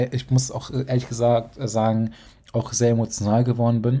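The man's voice has a dark, mellow tone at a medium pitch. His intonation is monotone and flat, and his pace is moderate. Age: 20s. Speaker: podcast host, young entrepreneur. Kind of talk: solo podcast monologue. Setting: home office at desk.

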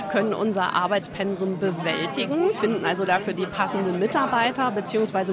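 Over crowd noise in the background, the voice moves at a moderate pace with ordinary pitch variation. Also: woman. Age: 50s. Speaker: tax advisor and auditor. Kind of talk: interview. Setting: trade fair.

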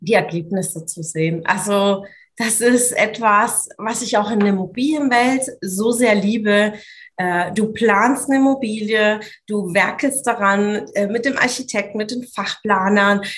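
Somewhat breathy, a woman speaks at a fairly slow pace with fairly high pitch and ordinary pitch variation. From Swabia, southern Germany (Italian roots). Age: 30s. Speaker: business coach. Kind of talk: interview conversation.

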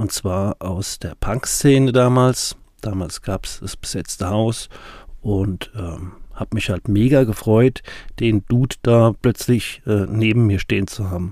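Very slowly, a man talks at a fairly low pitch in a dark, mellow tone with ordinary pitch variation. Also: very clean recording, silent background. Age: 40s. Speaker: podcast host, recovering addict. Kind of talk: personal storytelling monologue.

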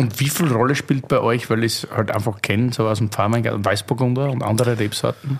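In an Austrian accent, a man at a medium pitch speaks at a very fast pace with hardly any pauses, very even loudness and fairly even intonation, against noticeable background noise. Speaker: podcast host. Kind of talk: casual chat.

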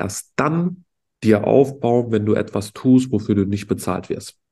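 Against a quiet background, a man with an ordinary speaking voice and medium pitch talks at a moderate pace. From Berlin, Germany. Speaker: entrepreneur podcast co-host. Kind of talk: casual chat.

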